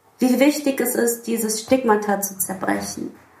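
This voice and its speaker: Amid noticeable background noise, a woman with a high pitch speaks at a moderate pace with ordinary pitch variation. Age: 30s. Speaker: musician. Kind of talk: casual interview.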